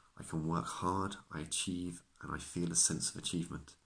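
His pitch sits very deep and low. The man keeps a moderate pace. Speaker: acupuncturist. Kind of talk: self-help talk to camera. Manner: stutters at times. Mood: calm, reassuring. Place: home room. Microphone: phone near.

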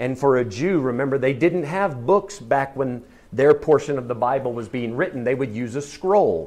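Lively intonation from a man at a moderate pace. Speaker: Bible class teacher. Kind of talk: lecture. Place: classroom.

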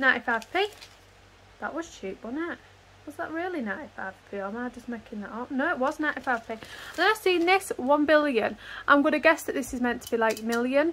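A woman speaks in a high, raised and projected voice with a bright, sharp tone. Her pace is fairly quick and her intonation lively. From Hull, England. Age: 30s. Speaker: mother of five, budget vlogger. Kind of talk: casual talk to camera.

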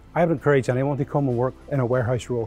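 Over faint music in the background, a man speaks with fairly even intonation. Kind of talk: interview answer. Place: factory. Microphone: lapel.

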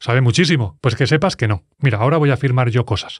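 A man's intonation is lively. Behind him the background stays quiet. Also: dry, close sound with no echo. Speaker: music producer. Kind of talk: tutorial. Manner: animated.

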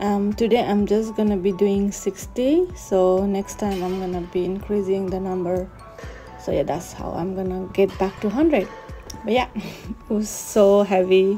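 With music in the background, a woman speaks at a fairly slow pace. Her intonation is fairly even. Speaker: fitness vlogger. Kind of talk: casual vlog narration.

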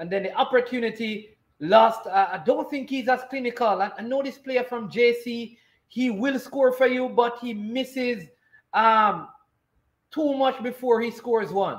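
Against a quiet background, the speaker talks at a fairly slow pace with a Jamaican accent. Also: man, extremely high pitch for a man, ordinary pitch variation. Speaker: sports commentator and watchalong host. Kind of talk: live football commentary during a watchalong. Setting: live stream. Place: home room.

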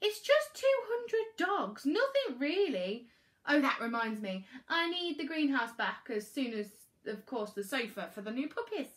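Putting on a character voice, a woman speaks at a fairly slow pace, high-pitched with big pitch swings and a fairly bright tone.

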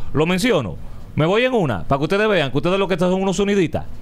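This man speaks with a Dominican accent at a fairly high pitch. His intonation is lively. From Dominican Republic. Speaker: radio host. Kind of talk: casual chat. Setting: studio. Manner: animated. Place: studio. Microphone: studio mic.

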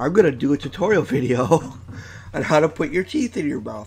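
Male speech at a moderate speed, backed by music. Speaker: online video creator. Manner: casual, chatty.

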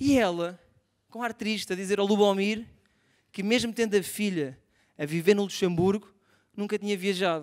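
With a European Portuguese accent, a man speaks in a high, animated voice at a moderate pace, using ordinary pitch variation and long, frequent pauses against a quiet background. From Portugal. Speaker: stand-up comedian. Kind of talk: stand-up comedy. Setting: stage with audience. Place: stage. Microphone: handheld.

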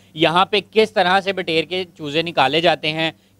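A man's high-pitched voice at a fairly slow pace, fairly even intonation, and a dry sound with no echo. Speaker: channel host presenter. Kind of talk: vlog presentation to camera. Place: farm machine. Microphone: handheld.

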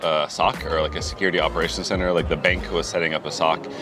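Clear music plays in the background. Over it, a man speaks at a very fast pace. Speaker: interview guest. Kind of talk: interview answer. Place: street.

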